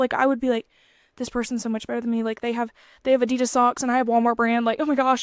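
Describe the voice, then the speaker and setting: The voice is loud and sounds dry and close, with no echo. The recording is very clean, with a silent background. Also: woman. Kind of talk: casual devotional talk. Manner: energetic.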